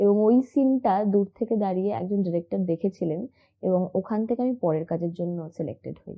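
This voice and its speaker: With a normal speaking voice at a medium pitch, a woman talks with ordinary pitch variation. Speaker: TV actress. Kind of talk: interview.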